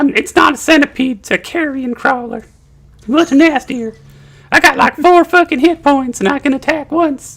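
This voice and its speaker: Drawling at a moderate pace, a man uses a put-on character voice with an extremely high pitch. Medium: actual play. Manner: crude, profane, drawling.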